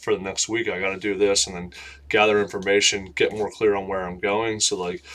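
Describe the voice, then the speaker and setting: Mumbling at a fairly quick pace, the voice stays monotone and flat. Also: man. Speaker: vlogger. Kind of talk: casual monologue vlog. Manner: loud; mumbling, run-on sentences.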